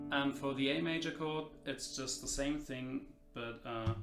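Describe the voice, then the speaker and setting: Music plays in the background as a man of medium pitch speaks at a fairly slow pace, with audible room echo. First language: not English. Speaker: guitar teacher. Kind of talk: tutorial. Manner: halting, many fillers.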